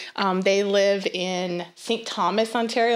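A woman's medium-pitched voice in a Nova Scotian accent, with ordinary pitch variation. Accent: Atlantic Canadian (Nova Scotian). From Nova Scotia, Canada (small fishing town). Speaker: missionary. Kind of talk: testimony. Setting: studio.

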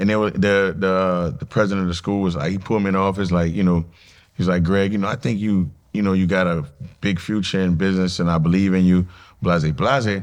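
Very fast and very deep in pitch, a man with a New Orleans accent speaks with fairly even intonation. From New Orleans, Louisiana. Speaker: nightlife promoter and entrepreneur. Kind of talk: casual interview.

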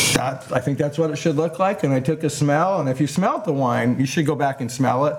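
Over noticeable background noise, a man talks at a fairly quick pace with a fairly high pitch, very even loudness and hardly any pauses. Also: ordinary pitch variation. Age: 60s. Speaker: winemaker. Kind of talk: casual chat. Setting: outdoors.

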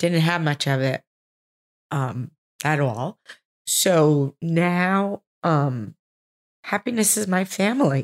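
The voice, with a New Jersey accent, makes very wide pitch swings. The recording is very clean, with a silent background and a dry, close sound with no echo. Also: woman. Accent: New Jersey American. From New Jersey, US. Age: 60s. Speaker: host's mother, homemaker. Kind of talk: casual interview. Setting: home bedroom.

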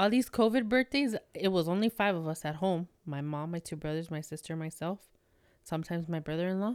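In an unremarkable speaking voice, a woman with a fairly low pitch talks at a fairly quick pace with lively intonation, the sound dry and close with no echo. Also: very clean recording, silent background. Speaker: guest, friend of the hosts. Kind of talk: casual chat.

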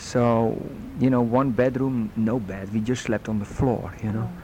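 Speaking with a Dutch accent, a man talks at medium pitch and a moderate pace. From Netherlands. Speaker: guest sharing faith story. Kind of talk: testimony.

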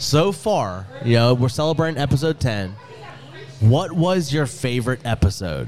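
Over noticeable background noise, a man speaks at a moderate pace with an animated tone, a medium pitch and lively intonation. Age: 30s. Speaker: podcast host. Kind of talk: casual chat. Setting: bar with live audience.

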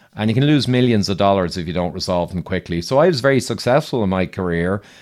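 Here a man speaks with an Irish accent. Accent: Irish, measured. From Ireland. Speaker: engineer and health podcaster. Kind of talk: interview. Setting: remote recording with studio mic.

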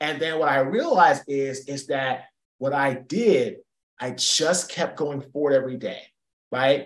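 A man with a fairly high pitch, a fairly slow pace, and an unremarkable speaking voice. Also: ordinary pitch variation. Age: 40s. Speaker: keynote speaker and former football player. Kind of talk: interview.

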